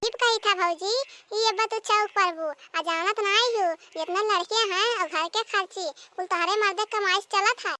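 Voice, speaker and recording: In a cartoonish character voice, a woman talks at a moderate pace, extremely high-pitched and squeaky, with fairly even intonation. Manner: coaxing, conspiratorial.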